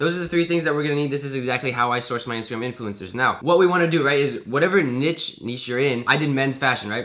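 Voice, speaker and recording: Very fast and animated, a man talks with fairly high pitch. His pitch variation is ordinary. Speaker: online business coach. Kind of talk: tutorial. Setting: screen share recording. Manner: casual, animated.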